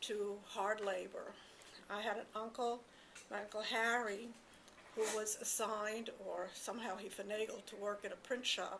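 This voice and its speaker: A woman's fairly high voice at a fairly slow pace, with noticeable background noise. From Poland. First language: not English. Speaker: Holocaust survivor. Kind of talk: testimony.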